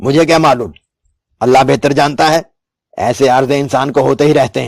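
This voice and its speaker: Putting on a gruff character voice, a man speaks at a medium pitch. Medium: read story. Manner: gruff, domineering.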